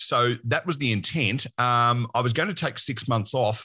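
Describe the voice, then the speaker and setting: A man with an Australian accent speaks at a moderate pace and medium pitch. His tone is bright and sharp, with ordinary pitch variation, over a quiet background. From Victoria, Australia. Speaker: podcaster and former announcer. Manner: relaxed, humorous storyteller.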